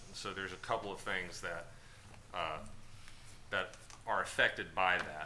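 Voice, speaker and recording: A man with a very deep, low voice and a bright, sharp tone, speaking at a moderate pace with fairly even intonation. Long pauses come often, and room echo is audible. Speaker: district attorney advising the board. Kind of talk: board meeting briefing. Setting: board meeting room.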